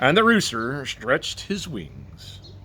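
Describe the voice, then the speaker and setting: In a bright, sharp tone, a man speaks at a fairly slow pace with very wide pitch swings. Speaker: storyteller. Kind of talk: bedtime story read-aloud.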